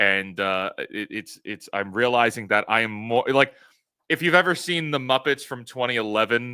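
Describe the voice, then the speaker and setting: Loud speech at a moderate pace with ordinary pitch variation comes through a very clean recording with a silent background. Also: man, medium pitch for a man. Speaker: YouTube commentator. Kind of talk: live stream commentary.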